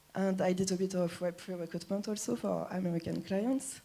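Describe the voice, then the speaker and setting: In a French accent, a dark, mellow tone moves at a moderate pace with fairly even intonation. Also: woman. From France. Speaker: recruiter. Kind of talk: presentation talk.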